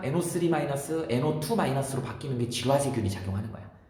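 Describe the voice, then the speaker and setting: Speech comes very fast, with audible room echo and noticeable background noise. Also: man. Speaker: science teacher. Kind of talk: lecture.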